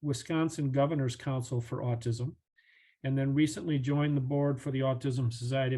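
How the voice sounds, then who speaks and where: Somewhat breathy and dark and mellow in tone, a man speaks at a medium pitch and a fairly quick pace with fairly even intonation against a quiet background. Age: 60s. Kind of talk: webinar presentation.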